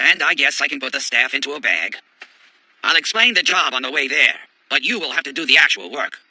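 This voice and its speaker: At a very fast pace, a man uses a cartoonish character voice with a fairly high pitch. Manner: gruff, combative.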